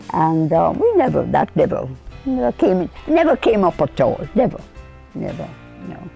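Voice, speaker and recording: The speech has long, frequent pauses, with music in the background. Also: woman, moderate pace. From Jamaica, Saint Thomas. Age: 80s+. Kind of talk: interview answer.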